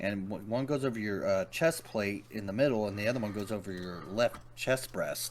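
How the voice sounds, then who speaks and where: A man speaks quietly at a fairly low pitch with ordinary pitch variation. His pace is moderate, with hardly any pauses. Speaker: tabletop role-playing game player. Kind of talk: casual chat.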